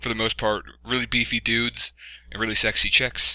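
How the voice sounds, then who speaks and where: A man's bright, sharp tone with vocal fry at a moderate pace, on a very clean recording with a silent background. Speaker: YouTuber giving channel update. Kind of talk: casual monologue. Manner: halting, many fillers.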